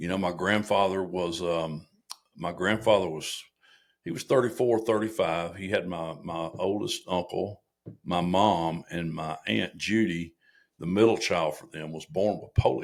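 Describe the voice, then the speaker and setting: The voice moves at a fairly slow pace with ordinary pitch variation. Its loudness swings widely. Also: man, very deep, low pitch for a man. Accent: American. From US South, Arkansas (Little Rock). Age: 60s. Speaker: Marine veteran and former police officer. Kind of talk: casual chat. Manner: animated storytelling.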